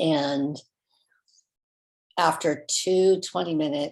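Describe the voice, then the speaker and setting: A woman with a Californian accent. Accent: Californian American. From Southern California. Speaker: company founder. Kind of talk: personal story. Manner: halting.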